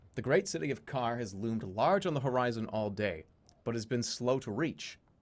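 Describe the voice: With ordinary pitch variation, the clip is plain reading aloud.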